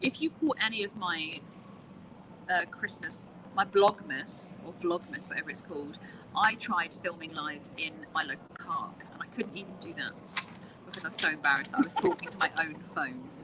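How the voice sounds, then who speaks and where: A woman speaks at a medium pitch with lively intonation and big swings in loudness. Noticeable background noise sits behind her. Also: moderate pace. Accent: British. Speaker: crochet content creator. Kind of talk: casual chat. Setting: live stream in a public place. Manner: whispering.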